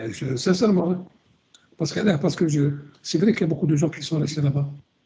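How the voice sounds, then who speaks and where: At a fairly quick pace, a man speaks with a dark, mellow tone, a fairly high pitch and a somewhat breathy quality. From Algeria. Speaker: radio co-host, historian. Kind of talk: radio discussion. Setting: live radio broadcast. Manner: halting, many repetitions.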